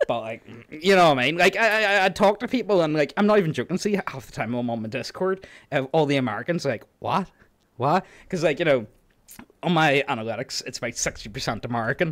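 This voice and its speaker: In a very clean recording with a silent background, a man with a strong Northern Irish accent speaks at a very fast pace, fairly high in pitch and with very wide pitch swings. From Northern Ireland. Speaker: youtube narrator. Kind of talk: casual chat.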